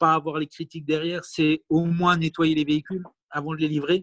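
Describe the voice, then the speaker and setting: Dry, close sound without echo from a man, with a quiet background. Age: 40s. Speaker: electric car owner. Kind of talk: interview. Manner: hesitant.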